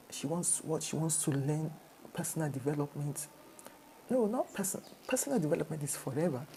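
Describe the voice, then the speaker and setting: With a Nigerian accent, a woman talks at a fairly quick pace in a very deep, low pitch, her lively intonation broken by long, frequent pauses. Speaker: motivational speaker. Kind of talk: talk to camera. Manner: repetitive, conversational.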